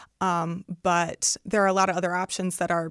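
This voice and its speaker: In a Midwestern American accent, a woman of medium pitch talks at a moderate pace on a very clean recording with a silent background and a dry, close sound with no echo. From Northwest Indiana. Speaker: research specialist. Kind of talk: interview.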